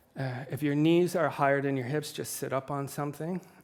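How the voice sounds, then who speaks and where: Using a normal speaking voice, a man with a fairly high pitch talks at a fairly quick pace with fairly even intonation. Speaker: yoga teacher. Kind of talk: guided yoga class. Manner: calm instructional.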